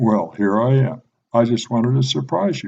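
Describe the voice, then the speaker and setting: A man is doing a put-on character voice. His pitch sits in the medium range. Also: moderate pace. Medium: read story. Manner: playful, teasing.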